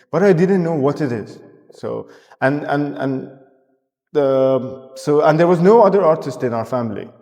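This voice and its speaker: Fairly high-pitched male speech in a dark, mellow tone, with lively intonation, long, frequent pauses and audible room echo. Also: moderate pace. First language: not English. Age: 30s. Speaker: artist. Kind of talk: casual chat. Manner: halting, many restarts and fillers.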